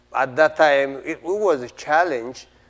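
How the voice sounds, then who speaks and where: In an Ethiopian accent, a man is speaking. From Ethiopia, Oromo region. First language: Oromo. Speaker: playwright. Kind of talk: interview. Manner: halting, with fillers and repetitions.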